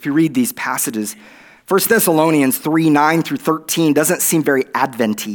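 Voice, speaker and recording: Recorded very cleanly against a silent background, the speaker uses an American accent at a moderate pace. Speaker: guest preacher. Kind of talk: sermon. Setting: church.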